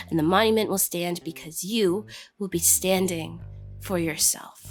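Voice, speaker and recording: With music in the background, a woman speaks at a fairly slow pace, her fairly low pitch showing ordinary pitch variation. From Canada. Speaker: spoken word poet. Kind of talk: spoken word poetry performance.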